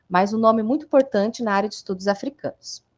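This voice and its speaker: A woman's fairly high voice with ordinary pitch variation, dry and close with no echo. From Brazil, interior of São Paulo state. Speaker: university history professor. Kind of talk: online lecture. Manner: informal, conversational with fillers.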